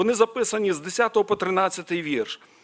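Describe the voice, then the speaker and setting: A man speaks at a high pitch and a fairly slow pace. His pitch varies in an ordinary way over a quiet background. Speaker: preacher. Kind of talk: sermon. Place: church. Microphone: podium.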